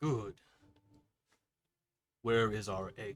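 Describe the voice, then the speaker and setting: Using a put-on character voice, a man speaks at medium pitch. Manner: commanding.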